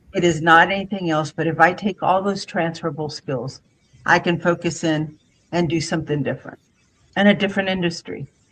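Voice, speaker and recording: A woman talks at a fairly quick pace with a fairly low pitch. Her intonation stays fairly even. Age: 60s. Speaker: HR executive and career coach. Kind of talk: interview conversation. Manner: halting, many fillers.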